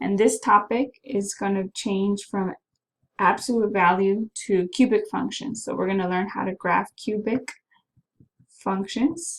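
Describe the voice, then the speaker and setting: A woman's fairly slow, somewhat breathy delivery. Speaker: math teacher. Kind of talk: recorded class announcement. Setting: self-recorded video while away from class.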